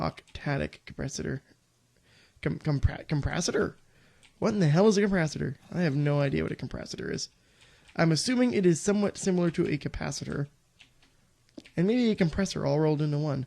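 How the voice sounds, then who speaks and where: A man's fairly high-pitched voice, dark and mellow, at a fairly quick pace with long, frequent pauses and ordinary pitch variation. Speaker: gaming video creator. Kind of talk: let's play commentary. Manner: casual, rambling.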